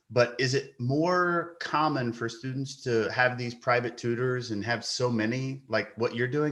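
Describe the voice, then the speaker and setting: Speaking with an American accent, a man has an unremarkable speaking voice. He keeps a moderate pace and fairly even intonation. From Kentucky, US. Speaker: podcast host. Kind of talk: podcast interview.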